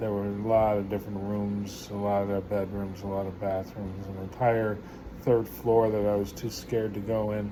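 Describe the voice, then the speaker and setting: In a dark, mellow tone and a fairly low pitch, a man speaks at a moderate pace with monotone, flat intonation amid audible room echo. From New York. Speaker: vlogger. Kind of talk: casual storytelling. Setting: at home. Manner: halting, many filler words.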